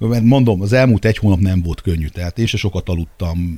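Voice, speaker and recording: A very fast, somewhat breathy man's voice, very deep and low in pitch, dark and mellow in tone, on a very clean recording with a silent background. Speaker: sports federation president. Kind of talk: casual interview. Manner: halting, repeats words.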